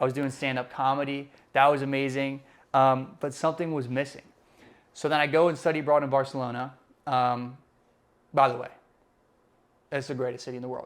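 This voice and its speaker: In a Spanish accent, a man talks at a fairly quick pace with a fairly high pitch and monotone, flat intonation, leaving long, frequent pauses on a very clean recording with a silent background. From Puerto Rican, raised mainly in the US. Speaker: podcast co-host. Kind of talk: casual chat.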